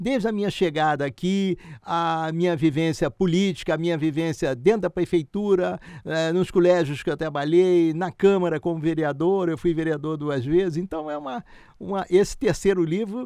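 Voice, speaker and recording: Here a man talks at a moderate pace with a high pitch and a dark, mellow tone. His pitch varies an ordinary amount. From Rio de Janeiro state, Brazil (Barra do Piraí). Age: 80s+. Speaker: retired gynecologist and former city councillor. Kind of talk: interview, casual storytelling.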